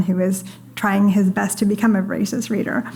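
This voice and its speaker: Soft-spoken woman at a medium pitch and fairly quick pace, fairly even in intonation, with audible room echo and noticeable background noise. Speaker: panelist from a free expression organization; parent. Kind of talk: panel discussion. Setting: stage with audience.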